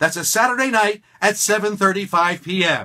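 A man speaks in a raised, projected voice at high pitch with a bright, sharp tone. The background is quiet. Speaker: professional wrestling ring announcer and stage show performer. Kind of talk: promotional announcement to camera for a stage show. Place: studio.

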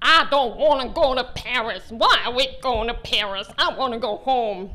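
At a moderate pace, a woman performs a put-on character voice pitched high with ordinary pitch variation. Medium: stage play. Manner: whiny, stubborn, complaining.

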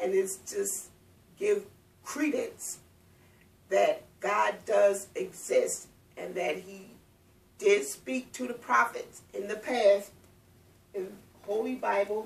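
A woman speaks at a very slow pace with long, frequent pauses. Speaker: speaker. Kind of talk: personal testimony. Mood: calm, earnest. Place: home room. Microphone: camera far.

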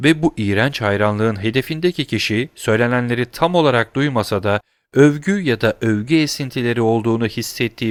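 Someone is reading aloud in a natural voice. The background stays quiet.

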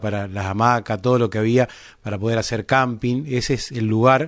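In a very clean recording with a silent background, a man of medium pitch speaks at a moderate pace with ordinary pitch variation. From Argentina, Buenos Aires province. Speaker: podcast host. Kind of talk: interview. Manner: halting.

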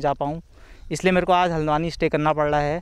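On a very clean recording with a silent background, a man has an ordinary speaking voice and fairly even intonation. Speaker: college student. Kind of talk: street interview.

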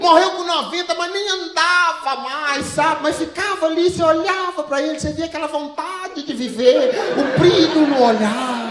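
Over loud background noise, a man with an extremely high pitch speaks at a fairly slow pace with ordinary pitch variation. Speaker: stand-up comedian. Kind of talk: stand-up comedy set. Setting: stage with live audience. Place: stage. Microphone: handheld.

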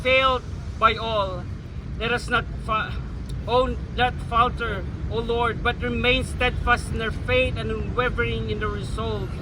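With a Filipino accent, a man speaks in a solemn tone at a very slow pace. Noticeable background noise can be heard. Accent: Filipino English and Tagalog. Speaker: rally prayer leader. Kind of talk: fervent prayer. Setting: outdoor public rally with crowd. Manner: solemn, earnest, pleading.

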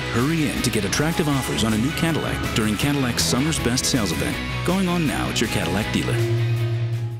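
Loud music plays behind a man's voice. He speaks fairly quickly with hardly any pauses. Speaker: voice actor. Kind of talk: TV commercial read. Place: studio.

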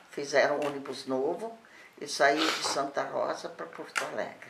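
Noticeable background noise runs under the voice. The speech is very slow, with lively intonation. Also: woman. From Rio Grande do Sul, Brazil. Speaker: company founder's widow; interviewee. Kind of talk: oral history interview. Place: home room. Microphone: camera far.

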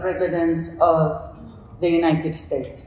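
In an Arabic accent, a woman with a fairly low voice speaks at a fairly slow pace, with audible room echo. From Saudi Arabia. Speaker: coach and panelist; coach, panelist. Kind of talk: conference panel talk. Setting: stage with audience. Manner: halting. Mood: earnest, reflective. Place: hall.

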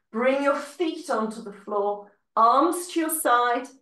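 A woman at a very slow pace with lively intonation, audible room echo and a quiet background. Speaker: fitness instructor. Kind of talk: live-led Pilates class, giving calm step-by-step cues with breath counts. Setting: video class, recorded online. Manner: calm, encouraging, rhythmic; instructional, clear and paced to the movement. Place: home room. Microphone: video call.

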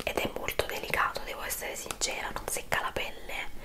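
The speaker moves along at a fairly quick pace. Loud background noise runs underneath. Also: woman. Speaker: beauty vlogger. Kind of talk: casual product review chat. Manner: soft-spoken, gentle low-volume ASMR voice. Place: home room.

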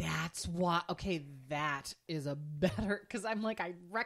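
This is a normal speaking voice with lively intonation. The pace is fairly slow. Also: woman. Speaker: podcast co-host. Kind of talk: casual chat.

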